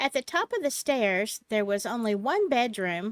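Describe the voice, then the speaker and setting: Speaking with a Southern US accent, a woman uses a fairly high pitch and lively intonation at a fairly slow pace. The recording is very clean with a silent background and a dry, close sound free of echo. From US South, Alabama. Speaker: storytelling channel host. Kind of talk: reading aloud; casual chat.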